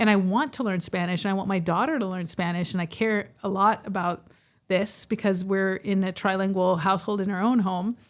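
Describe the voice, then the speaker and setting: Delivery is fairly quick, with fairly even intonation. The recording is very clean and the background silent. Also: woman, medium pitch for a woman. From Texas. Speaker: podcast co-host. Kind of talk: casual chat.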